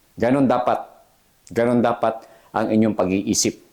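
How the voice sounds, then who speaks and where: A man's dark, mellow tone at a fairly slow pace. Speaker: jail officer and career vlogger. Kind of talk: motivational pep talk to applicants. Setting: solo video address to camera. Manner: earnest, emphatic, encouraging, repeats "okay?" often.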